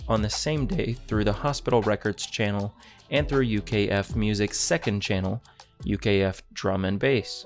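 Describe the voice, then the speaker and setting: Faint music plays in the background as a man speaks in a calm tone. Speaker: Minecraft content creator. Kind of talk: Wikipedia article read aloud, bedtime reading. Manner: calm, even.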